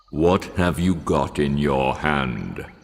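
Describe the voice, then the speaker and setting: Growling in a put-on character voice, a man speaks at a very deep, low pitch with fairly even intonation. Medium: read story. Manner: commanding.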